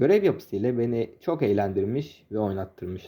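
A man's dark, mellow voice with very wide pitch swings on a very clean recording with a silent background. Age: 20s. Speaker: gaming YouTuber. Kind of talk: scripted narration.

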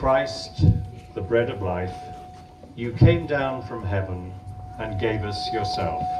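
Amid noticeable background noise, a man speaks at a very slow pace, with long, frequent pauses. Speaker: priest performing blessing. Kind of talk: blessing ritual with call-and-response translation. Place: garden.

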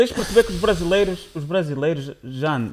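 A man speaks over light background noise. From Braga, northern Portugal; northern Portugal. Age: 20s. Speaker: podcast co-host. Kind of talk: casual chat. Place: studio. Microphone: studio mic.

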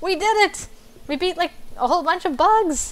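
A woman puts on a character voice at an extremely high pitch, talking at a moderate pace. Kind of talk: announcer voice. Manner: upbeat.

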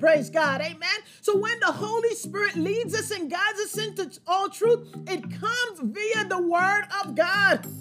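Clear music plays behind a woman speaking at a moderate pace in an extremely high pitch. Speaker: preacher or Bible teacher. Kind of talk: sermon. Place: home room.

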